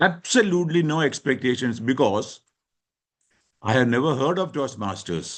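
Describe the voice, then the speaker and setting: A man at a medium pitch and moderate pace, with lively intonation and long, frequent pauses. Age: 60s. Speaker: leadership panelist. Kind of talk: panel discussion.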